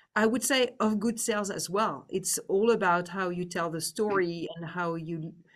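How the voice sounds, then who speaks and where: A woman speaks with a French accent. Her voice is fairly low, with ordinary pitch variation. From France. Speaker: business executive. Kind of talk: interview.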